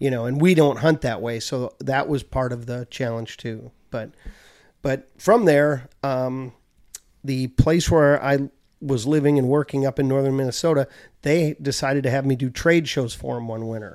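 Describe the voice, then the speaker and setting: With an unremarkable speaking voice, a man of medium pitch speaks at a moderate pace in an American accent, his intonation fairly even. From US Midwest, Chicago suburbs. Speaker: land manager and broker. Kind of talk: casual chat.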